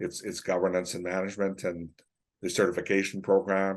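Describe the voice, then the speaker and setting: Speaking at a fairly quick pace with a Canadian accent, a man has a very deep, low pitch against a quiet background. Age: 60s. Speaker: forestry non-profit executive director. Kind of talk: podcast interview. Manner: halting, many repetitions.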